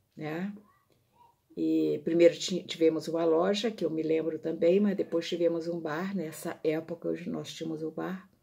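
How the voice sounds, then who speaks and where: Fairly low in pitch and dark, mellow in tone, a woman speaks at a fairly slow pace with fairly even intonation. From Minas Gerais, Brazil. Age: 70s. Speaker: visual artist. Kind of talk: personal storytelling.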